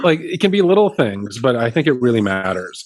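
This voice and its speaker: A man at a medium pitch speaks with very wide pitch swings. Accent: Canadian. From Canada. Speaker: wellness guest speaker. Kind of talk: casual interview conversation.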